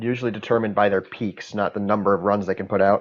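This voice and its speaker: A man is speaking here. His pitch sits fairly low. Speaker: esports commentator. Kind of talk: live commentary. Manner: fast.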